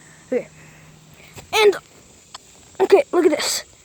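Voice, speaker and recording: Her pitch swings very widely as this woman speaks at a moderate pace. The sound is dry and close with no echo, with noticeable background noise. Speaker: YouTuber. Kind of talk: tutorial. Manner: casual.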